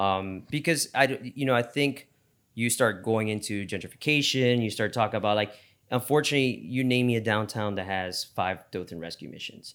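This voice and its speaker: With an American accent, a man speaks in a plain, everyday voice at a fairly quick pace, his medium pitch showing ordinary variation. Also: very clean recording, silent background. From Miami, Florida. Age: 30s. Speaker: downtown property developer. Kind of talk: casual chat.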